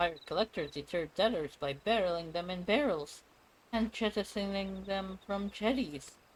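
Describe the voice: Someone reads out loud in a plain way. Pitch moves up and down as usual.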